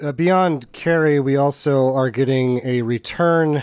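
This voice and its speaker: A man speaks with ordinary pitch variation. The background is quiet and the sound dry, with no echo. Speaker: podcast co-host. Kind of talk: casual chat. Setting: remote call, webcam mic at first. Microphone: webcam.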